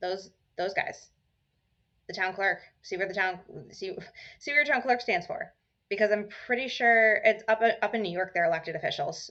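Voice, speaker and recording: Lively intonation marks the woman's delivery, which keeps a moderate pace. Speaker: mental health podcaster. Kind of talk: casual chat. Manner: loud.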